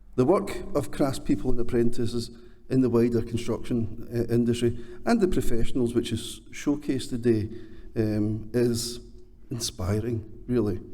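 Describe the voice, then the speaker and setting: With a Scottish accent, a man speaks at a medium pitch and a moderate pace, his tone dark and mellow. His intonation is fairly even, and the room echo is audible. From Scotland. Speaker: construction training chief executive. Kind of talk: award presentation speech.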